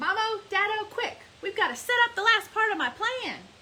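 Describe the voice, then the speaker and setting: The speaker uses a put-on character voice at a moderate pace. Clear background noise can be heard. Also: woman, extremely high pitch for a woman. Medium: read story.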